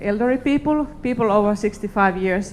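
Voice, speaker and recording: A woman with a Finnish accent talks at a moderate pace with ordinary pitch variation. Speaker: company executive. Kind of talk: conference talk. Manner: halting.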